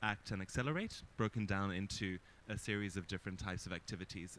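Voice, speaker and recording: A man at a fairly quick pace. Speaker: panelist. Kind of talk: panel discussion. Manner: loud.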